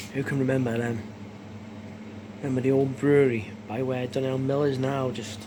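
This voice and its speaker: Whispering from a man with a North Welsh accent, moderate pace and long, frequent pauses, amid noticeable background noise and audible room echo. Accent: north Welsh (Wrexham). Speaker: fan channel host. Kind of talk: casual vlog chat. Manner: animated.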